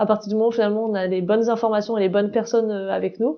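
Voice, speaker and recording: Talking at a very fast pace, a woman keeps a medium pitch and a monotone, flat intonation. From southern France. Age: 30s. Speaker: founder of an accessibility project, wheelchair user. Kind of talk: interview testimony. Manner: hesitant, many fillers.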